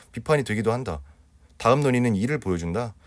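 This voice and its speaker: A man speaks very fast in a very clean recording with a silent background. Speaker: Korean language exam tutor. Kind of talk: lecture.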